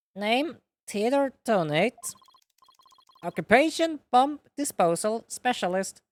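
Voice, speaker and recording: A robotic put-on character voice speaks at a fairly slow pace and a fairly high pitch. Long pauses come frequently. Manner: mechanical.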